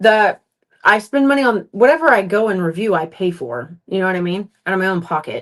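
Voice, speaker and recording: Talking at a fairly quick pace, a woman uses a medium pitch with very wide pitch swings. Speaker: content creator / food reviewer. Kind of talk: casual chat. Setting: home livestream. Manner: fast.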